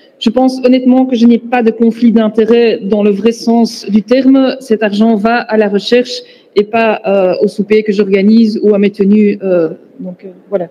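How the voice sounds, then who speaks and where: Noticeable background noise sits behind a woman's fairly high voice. She talks at a fairly slow pace with fairly even intonation. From Belgium, Flanders (Antwerp). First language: Dutch (speaking French). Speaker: pain researcher and lecturer. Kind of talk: conference lecture.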